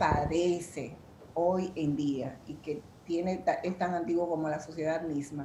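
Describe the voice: A woman speaks at a fairly slow pace in a dark, mellow tone and a fairly low pitch. Audible room echo fills the recording.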